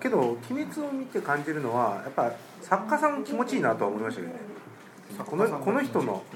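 A man at a fairly high pitch and fairly quick pace, with very wide pitch swings, audible room echo and noticeable background noise. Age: 40s. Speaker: game shop owner. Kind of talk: casual chat. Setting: rented room with co-hosts.

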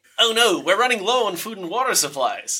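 A man's put-on character voice, nasal, raised and projected, high-pitched, at a fairly quick pace. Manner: mimicked voice.

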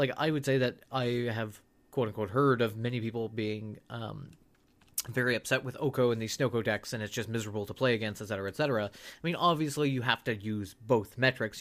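Against a silent background in a very clean recording, a man with a medium-pitched voice talks at a fairly quick pace. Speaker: podcast co-host. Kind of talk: casual chat. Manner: playful, animated.

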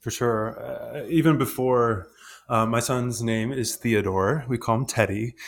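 Recorded very cleanly against a silent background, a man speaks with a Midwestern US accent. His medium pitch is fairly even, and his pace is fairly slow. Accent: General American, Midwest. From Michigan, suburban Detroit. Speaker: actor. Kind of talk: casual chat.

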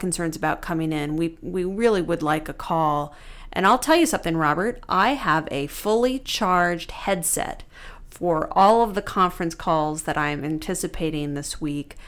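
A woman's fairly low, normal speaking voice at a moderate pace, with ordinary pitch variation, on a very clean recording with a silent background. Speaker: lawyer and podcast co-host. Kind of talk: casual conversation between law partners.

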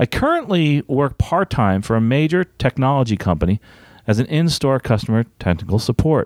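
A man with a medium-pitched voice speaks at a moderate pace in a slightly mellow tone, his pitch swinging widely.

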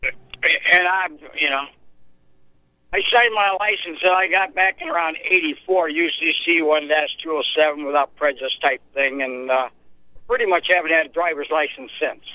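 Speaking at a fairly slow pace, a man uses a high pitch for a man with ordinary pitch variation. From Indiana, US Midwest. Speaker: caller. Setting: phone call.

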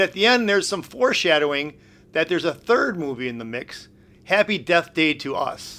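A man with a high-pitched, bright, sharp voice speaks at a fairly quick pace with very wide pitch swings. The recording is very clean, with a silent background. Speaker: movie reviewer panelist and sports broadcaster. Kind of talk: casual banter and movie review.

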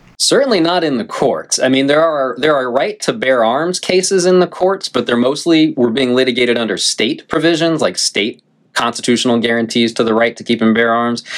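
A man with an ordinary speaking voice talks at a medium pitch and a fairly quick pace with hardly any pauses. His intonation is lively and his loudness very even. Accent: American. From North Carolina. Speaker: law professor. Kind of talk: interview. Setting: remote call.

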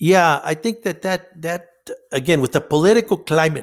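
A man with a Spanish accent is heard on a very clean recording with a silent background. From northern Mexico; Nogales, Sonora. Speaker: counselor. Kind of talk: interview.

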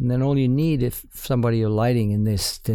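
A man with a New Zealand accent speaks in a dark, mellow tone. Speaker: cinematographer. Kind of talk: interview. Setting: studio.

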